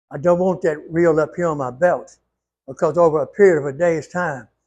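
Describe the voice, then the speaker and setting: A man speaks with a Louisiana accent at a fairly slow pace. His pitch is high. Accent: southern US, Louisiana. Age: 80s+. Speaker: retired ironworker. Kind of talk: tutorial.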